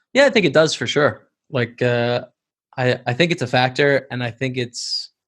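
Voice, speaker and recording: A plain, everyday voice from a man with a Canadian accent, moderate pace, fairly even intonation, very clean recording and silent background. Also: medium pitch for a man. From Canada, Lethbridge, Alberta. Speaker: poker pro and streamer. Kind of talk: interview conversation.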